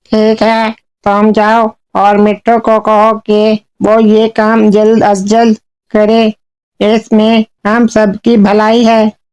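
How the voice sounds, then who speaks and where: A cartoonish character voice that sounds female comes out fairly high-pitched, with a calm tone and monotone, flat intonation. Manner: calm, reasonable.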